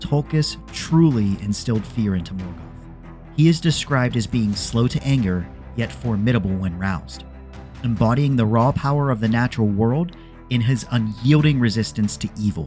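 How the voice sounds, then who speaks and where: The voice moves at a moderate pace with very wide pitch swings. Music plays in the background. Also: man, medium pitch for a man. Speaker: lore video narrator. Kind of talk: educational lore commentary. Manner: soft-spoken, light-hearted.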